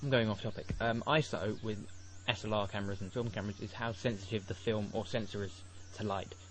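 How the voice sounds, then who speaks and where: A man's fairly low, somewhat breathy voice, very fast, with fairly even intonation. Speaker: software tutorial maker. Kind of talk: tutorial. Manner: halting.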